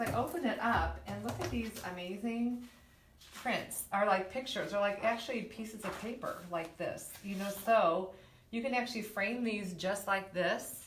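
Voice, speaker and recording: A woman speaks at a moderate pace, her voice carrying audible room echo along with noticeable background noise. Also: medium pitch for a woman, ordinary pitch variation. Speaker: interior designer. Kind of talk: tutorial; casual chat. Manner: halting.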